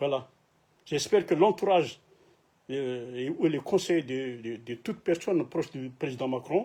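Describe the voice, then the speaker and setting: A man with a non-native accent speaks at a fairly slow pace in a fairly high pitch with a dark, mellow tone. His intonation is lively, and the recording is very clean with a silent background. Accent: non-native French, imperfect. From Madagascar. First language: Malagasy (speaking French). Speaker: political activist, YouTuber. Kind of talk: political address to camera. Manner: halting, many hesitations and repetitions.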